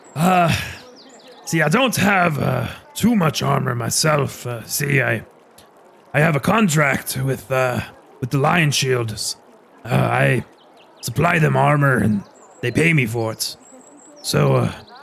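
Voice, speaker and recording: A raspy put-on character voice speaks at a fairly slow pace. Long pauses come often. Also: man, medium pitch for a man. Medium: actual play. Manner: hesitant, halting, full of uh and um.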